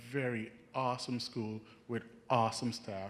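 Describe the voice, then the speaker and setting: Speaking in a Jamaican accent, a man holds a medium pitch. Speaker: nursing student. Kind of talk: casual talk at event.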